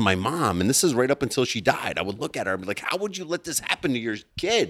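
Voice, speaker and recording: A man with an American accent talks at a very fast pace. His pitch swings very widely, with vocal fry. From US-born, Palestinian family. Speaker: entrepreneur. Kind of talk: casual chat. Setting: barn.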